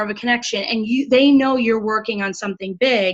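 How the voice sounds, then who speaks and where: A woman talks at a fairly quick pace with ordinary pitch variation amid noticeable background noise. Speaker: sales team leader. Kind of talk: training call. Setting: video call. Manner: animated.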